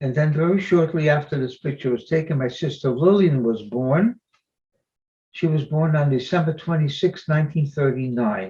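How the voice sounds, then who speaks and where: A man speaks at a moderate pace with a fairly high pitch, ordinary pitch variation and a dark, mellow tone. His voice is somewhat breathy. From Belgium (Antwerp). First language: not English. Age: 90s. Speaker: Holocaust survivor speaker. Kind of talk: presentation with slides.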